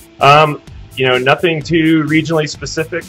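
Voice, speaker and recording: A man talks at a moderate speed while faint music plays behind him. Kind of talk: interview answer. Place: kitchen.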